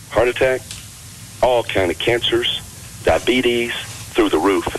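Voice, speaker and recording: A man speaks with an American accent. Noticeable background noise is present. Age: 60s. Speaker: health and fitness author. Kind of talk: radio interview.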